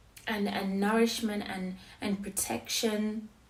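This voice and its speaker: A woman talks at a very slow pace with monotone, flat intonation. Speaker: poet. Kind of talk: casual talk to camera. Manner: hesitant, reflective.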